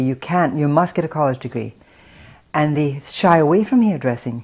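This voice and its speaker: A woman with an American accent speaks at a moderate pace. Her voice is very deep and low, and somewhat breathy. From Scotland (Paisley, near Glasgow). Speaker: hair stylist and salon owner, film writer. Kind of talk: interview. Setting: in her salon.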